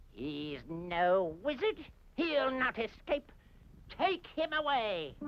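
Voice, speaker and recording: A cartoonish character voice sits at a fairly high pitch with very wide pitch swings. The delivery is very slow. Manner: huffy, scornful.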